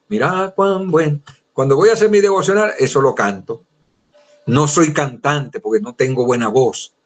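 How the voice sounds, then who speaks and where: With an unremarkable speaking voice, a man talks at a moderate pace and fairly high pitch. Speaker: Bible teacher. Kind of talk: lecture.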